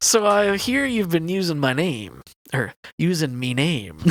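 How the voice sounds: A man uses a put-on character voice at a high pitch. He talks at a moderate pace.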